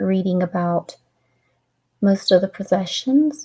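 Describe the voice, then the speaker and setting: Here a woman speaks in a dark, mellow tone that is somewhat breathy. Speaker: author reading her own book. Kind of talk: casual chat wrapping up a reading livestream. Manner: tongue-tied at times.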